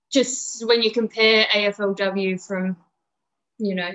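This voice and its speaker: A woman with an Australian accent, medium pitch and fairly even intonation. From Perth, Western Australia. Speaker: amateur football club president and coach. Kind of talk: casual interview.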